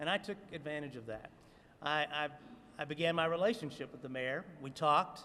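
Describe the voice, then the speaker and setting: In a slight Southern US accent, a man speaks at a moderate pace with a fairly high pitch and fairly even intonation. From US South. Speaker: city commission member. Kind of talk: press conference speech. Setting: city hall rotunda press conference.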